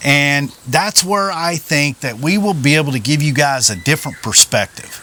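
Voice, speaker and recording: Speaking in a Southern US accent at a moderate pace, a man with a fairly high pitch uses lively intonation against noticeable background noise. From Oklahoma. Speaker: vlogger, retired police officer. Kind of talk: casual chat. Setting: outdoors.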